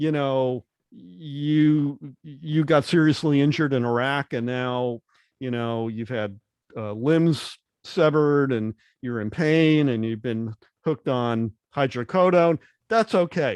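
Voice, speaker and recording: A man with a normal speaking voice talks at a fairly slow pace, fairly high in pitch with ordinary pitch variation. The sound is dry and close with no echo, against a quiet background. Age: 60s. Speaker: podcast host. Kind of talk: interview conversation.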